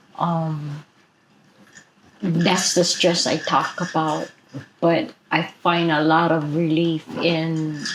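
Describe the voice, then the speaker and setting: A woman with a Hawaiian accent talks very slowly at a fairly low pitch, her loudness very even and her intonation flat and monotone. Long pauses come often, and background noise is noticeable. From Hawaii, Maui. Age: 60s. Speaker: activist. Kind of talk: interview.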